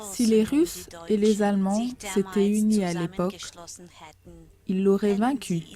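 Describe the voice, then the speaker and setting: This woman's voice is somewhat breathy, at a medium pitch with fairly even intonation. Her pace is very slow. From Russia. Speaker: private citizen making a video appeal. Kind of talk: political appeal to camera.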